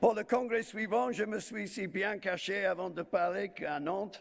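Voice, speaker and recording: The man speaks at a fairly slow pace. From Wales. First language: English (speaking French). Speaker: trade union leader. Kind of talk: conference speech. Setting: stage with audience. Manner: halting, with fillers.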